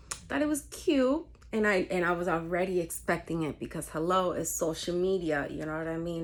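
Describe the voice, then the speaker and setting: A woman's fairly low-pitched voice in a Spanish accent. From New York State. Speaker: vlogger. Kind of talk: casual chat. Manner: halting, many fillers.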